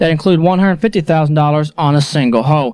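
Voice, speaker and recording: A man's voice with ordinary pitch variation, dry with no echo, over a quiet background. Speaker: radio sports reporter. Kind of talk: 1980s radio sports report, scores read briskly. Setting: radio studio broadcast. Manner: brisk, businesslike, even-paced; formal, rattling off scores in a steady newsreader cadence. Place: studio.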